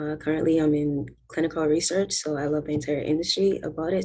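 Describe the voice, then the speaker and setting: With an American accent, a woman speaks at a very deep, low pitch. Her tone is dark and mellow, with ordinary pitch variation. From US Virgin Islands. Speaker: business owner in healthcare. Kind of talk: self-introduction in online cohort.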